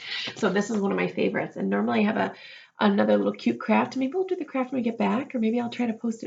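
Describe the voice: Plain reading aloud is all this recording contains.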